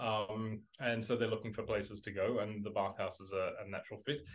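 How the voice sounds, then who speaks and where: The delivery moves at a fairly quick pace with monotone, flat intonation. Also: man. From Australia. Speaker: dating app executive. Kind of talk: interview. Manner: halting, many fillers.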